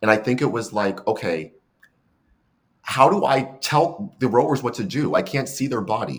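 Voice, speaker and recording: Speaking in an American accent at a moderate pace, a man uses a medium pitch, lively intonation and vocal fry. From San Francisco, California. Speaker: coxswain, podcast guest. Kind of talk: casual interview.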